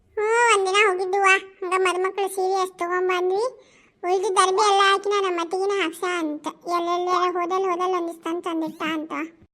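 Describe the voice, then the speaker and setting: A put-on character voice speaks at a moderate pace in a monotone, flat intonation. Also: woman, extremely high pitch for a woman. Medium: solo performance. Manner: chatty, rambling.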